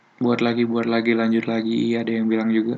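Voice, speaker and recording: The man is soft-spoken. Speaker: programming tutorial youtuber. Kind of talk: tutorial. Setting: at home at night. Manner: soft-spoken, quiet; casual slang-heavy.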